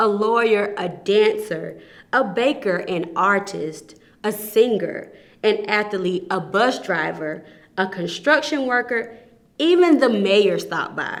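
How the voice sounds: A woman's slow, lively-toned delivery with few pauses. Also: medium pitch for a woman.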